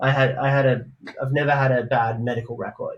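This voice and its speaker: Somewhat breathy and flat in monotone, a man speaks with an Australian accent. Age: 30s. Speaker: DJ and music producer. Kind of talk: interview.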